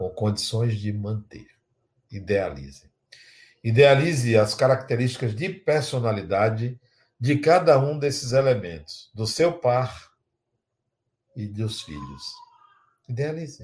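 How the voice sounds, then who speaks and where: A somewhat breathy voice talks very slowly, with long, frequent pauses and big swings in loudness. The recording is very clean, with a silent background. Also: man, medium pitch for a man. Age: 60s. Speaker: spiritual teacher. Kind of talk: lecture with guided imagination exercise.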